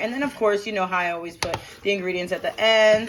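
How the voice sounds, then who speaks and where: Noticeable background noise surrounds a woman with an American accent and a fairly high pitch. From New Jersey, Hamilton area. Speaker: vlogger. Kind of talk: cooking tutorial vlog. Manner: fast, casual.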